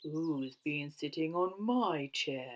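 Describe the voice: A put-on character voice at a middle pitch.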